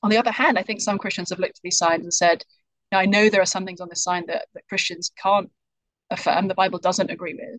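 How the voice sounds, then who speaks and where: A woman's medium-pitched voice in a British accent, very fast, with ordinary pitch variation, big swings in loudness, and a dry, close sound with no echo. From UK. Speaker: author. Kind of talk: interview answers.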